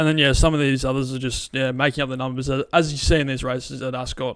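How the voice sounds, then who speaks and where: Speaking very fast in an Australian accent, a man holds a medium pitch with flat, monotone intonation on a very clean recording with a silent background. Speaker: horse racing tipster. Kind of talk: casual racing preview. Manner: conversational with many fillers.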